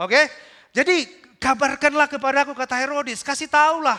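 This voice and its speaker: A man speaks in a raised, projected voice with an extremely high pitch. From North Sumatra (Batak). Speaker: pastor. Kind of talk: sermon.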